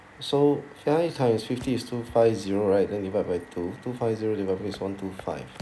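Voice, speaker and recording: A man at a moderate pace, with ordinary pitch variation, audible room echo and noticeable background noise. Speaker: math teacher. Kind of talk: tutorial.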